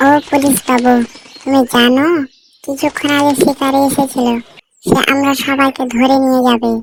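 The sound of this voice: A cartoonish character voice that sounds female, high-pitched and flat in intonation comes at a moderate pace.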